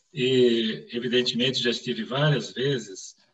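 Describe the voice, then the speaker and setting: A man speaks at a fairly slow pace. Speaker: medical professor, lecturer. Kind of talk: academic lecture. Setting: online live event. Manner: formal.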